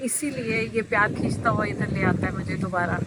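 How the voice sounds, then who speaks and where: Through noticeable background noise, a woman's fairly high voice moves with lively intonation. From London, England (family from Meerut, India). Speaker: devotee visitor, restaurant owner. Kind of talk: interview.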